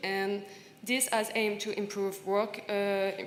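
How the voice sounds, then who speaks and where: A woman speaks in a French accent, and audible room echo surrounds her voice. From France, partly raised in Senegal. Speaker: panelist, recent graduate. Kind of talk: conference panel talk. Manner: halting, many fillers and repetitions.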